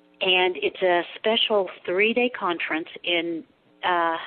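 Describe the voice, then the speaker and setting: An unremarkable speaking voice from a woman, medium in pitch with ordinary pitch variation. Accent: American. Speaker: board member of a UFO research group. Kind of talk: radio interview.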